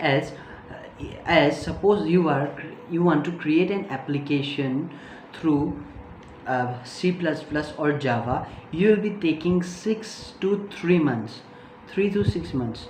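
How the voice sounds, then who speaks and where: A woman's very deep, low voice with a non-native accent, lively intonation and a very slow pace, plus noticeable background noise and audible room echo. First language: not English. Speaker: tech youtuber. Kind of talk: tutorial. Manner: halting, many fillers.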